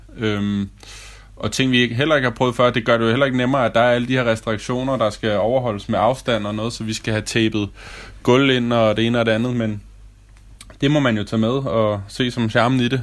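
Monotone and flat in intonation, a man with a medium pitch speaks at a fairly quick pace. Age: 30s. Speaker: restaurant waiter and co-leaseholder. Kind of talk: self-recorded audio diary.

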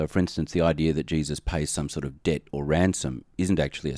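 Talking very fast with vocal fry, a man with an American accent has a very deep, low pitch and ordinary pitch variation on a very clean recording with a silent background. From Australia. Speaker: theology professor and dean. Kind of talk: podcast interview.

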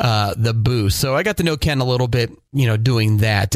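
The man has a normal speaking voice at medium pitch, with ordinary pitch variation. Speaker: podcast host and radio broadcaster. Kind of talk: casual chat.

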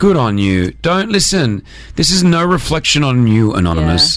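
With an Australian accent, a man talks at a moderate pace and medium pitch, his voice swinging very widely, over noticeable background noise. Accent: mild Australian. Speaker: radio host. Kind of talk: casual chat. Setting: studio. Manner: animated.

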